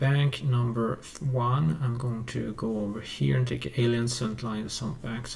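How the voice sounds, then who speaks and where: Lively intonation colors a man's speech. He moves at a fairly slow pace. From Sweden. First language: Swedish. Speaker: music producer YouTuber. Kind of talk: tutorial. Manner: halting. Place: home room.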